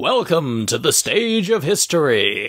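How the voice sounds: A man puts on a character voice, pitched high with very wide swings. He talks at a fairly slow pace.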